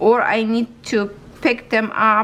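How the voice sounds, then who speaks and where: A woman with a Ukrainian accent speaks in a fairly high pitch. Her pace is fairly slow. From Ukraine. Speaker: crafts YouTuber. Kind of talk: casual vlog tutorial. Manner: halting, tripping over words.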